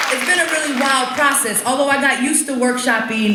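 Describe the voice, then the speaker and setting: A woman rushes through her words at a very fast pace while noticeable background noise carries on. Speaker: poet. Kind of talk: stage talk to audience. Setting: live stage. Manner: casual, conversational.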